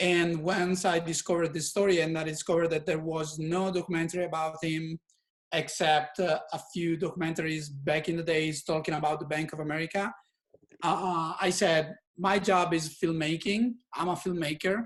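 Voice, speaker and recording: This man has a fairly high pitch and an Italian accent. His intonation is monotone and flat, at a moderate pace. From Italy. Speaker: filmmaker. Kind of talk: community meeting presentation. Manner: halting.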